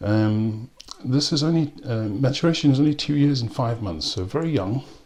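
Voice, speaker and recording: A man with a South African accent at a moderate pace. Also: medium pitch for a man, ordinary pitch variation. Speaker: whisky and rum reviewer. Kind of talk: product review. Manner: hesitant, many ums.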